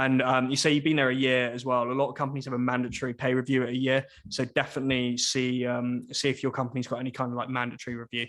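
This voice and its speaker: Very fast, flat monotone speech from a man at medium pitch against a quiet background. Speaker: software engineer and former recruiter giving career talk. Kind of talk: informal talk with audience Q&A. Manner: halting, many fillers.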